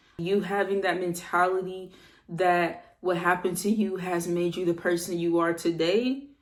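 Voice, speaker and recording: The voice carries monotone, flat intonation, with audible room echo around it. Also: woman. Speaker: self-improvement vlogger. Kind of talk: motivational talk. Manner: calm, relaxed; casual, slangy.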